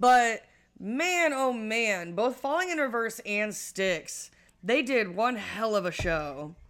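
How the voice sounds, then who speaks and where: A woman speaks at a very slow pace in an American accent. Her fairly high voice swings very widely in pitch. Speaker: podcast host. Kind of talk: casual chat.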